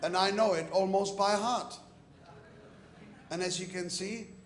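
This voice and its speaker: At a fairly slow pace, a man speaks with ordinary pitch variation. Room echo is audible. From Czechoslovakia. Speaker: businessman and invited speaker. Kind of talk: conference speech.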